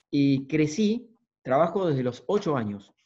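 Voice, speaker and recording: A man's dark, mellow tone in a fairly high pitch, very wide pitch swings, with an Argentine accent. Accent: Argentine (Rioplatense) Spanish. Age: 50s. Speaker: motivational speaker and coach; coach giving a talk. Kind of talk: lecture. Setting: video call. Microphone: video call.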